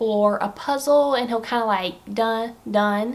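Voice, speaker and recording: With a Southern US accent, a woman speaks at a fairly high pitch with ordinary pitch variation. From Alabama. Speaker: stay-at-home mother. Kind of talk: casual vlog talk to camera.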